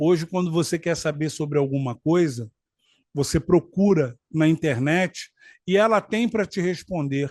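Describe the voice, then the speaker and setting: With ordinary pitch variation, a man speaks in a high voice, recorded dry and close with no echo. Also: quiet background. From Rio de Janeiro, Brazil. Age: 50s. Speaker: law graduate, political commentator. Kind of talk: political commentary talk to camera.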